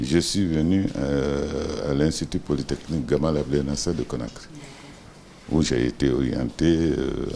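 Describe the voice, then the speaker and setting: Over noticeable background noise, a man with a very deep, low pitch speaks at a fairly slow pace with ordinary pitch variation. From Guinea, Boké region. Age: 70s. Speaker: business executive, former minister. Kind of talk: interview. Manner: hesitant, many fillers.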